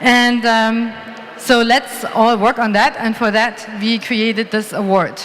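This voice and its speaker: A woman's fairly high-pitched voice at a very slow pace, monotone and flat in intonation, with noticeable background noise. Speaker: award presenter. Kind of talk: conference award presentation.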